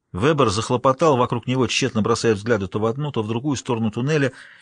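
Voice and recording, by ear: Here, someone reads aloud in a natural voice. Pitch moves up and down in an ordinary way.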